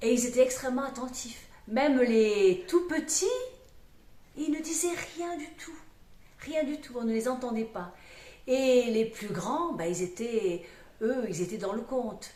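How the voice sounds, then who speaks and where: Speaking at a very slow pace with long, frequent pauses, a woman has a high voice, lively intonation and a slight southwestern French accent. Her loudness swings widely, and the room echo is audible. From southwest France, Aveyron. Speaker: storyteller. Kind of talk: interview conversation. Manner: hesitant, many fillers.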